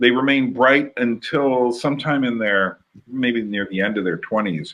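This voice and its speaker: This is an ordinary speaking voice with an American accent. It moves at a moderate pace. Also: man. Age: 60s. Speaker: podcast host. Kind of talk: casual conversation.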